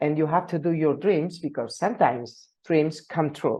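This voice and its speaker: This woman's voice is very deep and low, dark and mellow in tone. She talks at a fairly slow pace against a quiet background. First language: Catalan. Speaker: engineering professor. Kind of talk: conference talk. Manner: halting, many fillers and repetitions.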